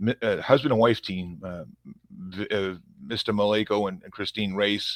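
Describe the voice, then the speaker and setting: Over a very clean recording with a silent background, a man with a Boston accent speaks at a moderate pace in a fairly low pitch, his intonation fairly even but his loudness swinging a lot. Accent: thick Boston. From Massachusetts, Revere near Boston. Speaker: police officer. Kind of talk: interview conversation.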